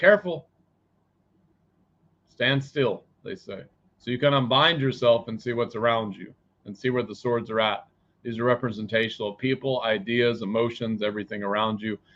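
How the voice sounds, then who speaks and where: Loud shouting at a moderate pace, with ordinary pitch variation and long, frequent pauses. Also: man, medium pitch for a man. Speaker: psychic tarot reader. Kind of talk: live tarot reading. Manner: loud, yelling; animated.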